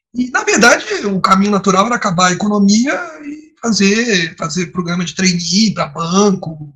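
A man projects a raised voice with a bright, sharp tone, high in pitch, with ordinary pitch variation at a moderate pace. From Brazil, Nova Friburgo (Rio de Janeiro state). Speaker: diplomat. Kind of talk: interview.

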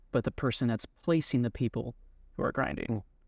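A man speaks in a normal speaking voice at medium pitch and moderate pace. The sound is dry and close with no echo, over a quiet background. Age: 30s. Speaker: realtor. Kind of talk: podcast interview.

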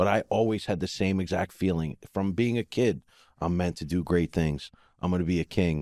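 Over a silent background on a very clean recording, a man with a very deep, low pitch and a dark, mellow tone talks at a fairly quick pace with ordinary pitch variation, the sound dry and close with no echo. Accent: New Jersey. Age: 40s. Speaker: podcast co-host. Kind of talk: casual chat.

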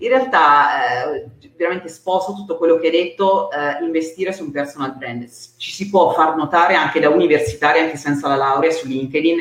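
A woman's very deep, low voice with ordinary pitch variation, at a fairly quick pace, over noticeable background noise. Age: 40s. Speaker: career mentor. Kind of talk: interview.

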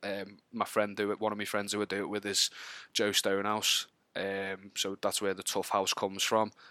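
Delivered in a flat monotone, the speech comes through a very clean recording with a silent background. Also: man, fairly low pitch for a man, moderate pace. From Wallasey, Merseyside, north-west England. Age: 30s. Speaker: podcast guest, gamer. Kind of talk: casual chat.

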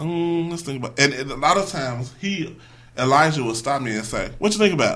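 A man with an unremarkable speaking voice talks at a fairly quick pace. His pitch is fairly high and his intonation lively. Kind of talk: casual chat. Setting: studio.

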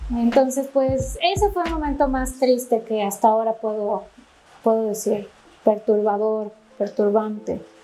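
A woman speaks with a fairly high pitch. There is noticeable background noise behind her. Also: ordinary pitch variation. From Ecuador, Quito. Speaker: aesthetic medicine doctor. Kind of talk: interview.

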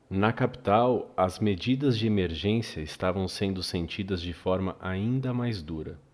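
With an ordinary speaking voice, a man talks at a fairly low pitch and a fairly slow pace, with ordinary pitch variation and hardly any pauses. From Brazil. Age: 40s. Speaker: podcast host. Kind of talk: scripted narration.

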